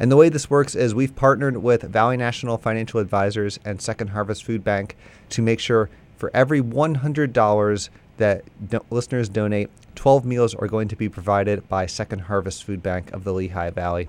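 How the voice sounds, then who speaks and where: A man with an unremarkable speaking voice talks at a fairly quick pace, his fairly low pitch showing ordinary variation. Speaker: radio station fundraiser host. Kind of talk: pledge drive pitch. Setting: radio studio.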